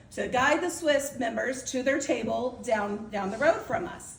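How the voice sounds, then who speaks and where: A woman talks at a high pitch. Noticeable background noise and audible room echo surround her voice. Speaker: outgoing club president. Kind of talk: farewell speech. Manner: fast.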